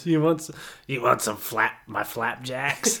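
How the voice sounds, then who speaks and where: A man's raspy, put-on character voice, fairly high in pitch. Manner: gruff, mocking.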